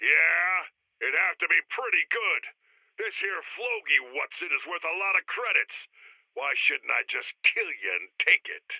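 Delivered at a moderate pace, this is a put-on character voice. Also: man. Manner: brash, threatening, gruff.

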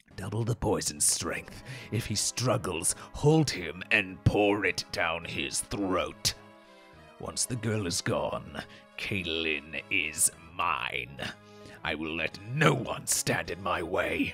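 A put-on character voice speaks at a very slow pace over clear background music. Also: man, very deep, low pitch for a man. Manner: menacing, gratuitously villainous.

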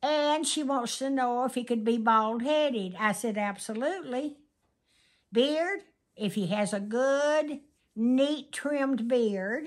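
Over a quiet background, a woman talks at a very slow pace with a high pitch and ordinary pitch variation. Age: 80s+. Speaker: grandmother. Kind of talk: casual interview answer. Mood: playful, humorous. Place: home room. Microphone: phone near.

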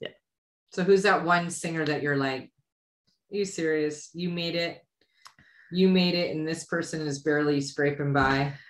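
A woman speaks at a moderate pace with a very deep, low pitch. Her intonation is fairly even, broken by long, frequent pauses. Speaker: podcast host. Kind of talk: casual chat. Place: home room. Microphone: studio mic.

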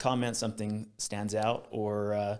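The background is silent. A man talks at a moderate speed. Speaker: podcast host. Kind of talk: podcast intro to camera. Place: studio. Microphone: studio mic.

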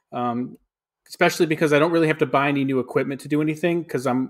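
In a quiet background, a man talks with fairly even intonation. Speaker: podcast co-host. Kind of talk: casual podcast conversation. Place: kitchen.

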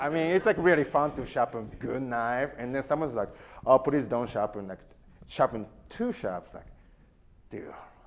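A man with a Japanese accent at a moderate pace, very wide pitch swings, and noticeable background noise. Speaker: knife sharpener. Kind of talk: talk to a live audience. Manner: casual. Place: hall.

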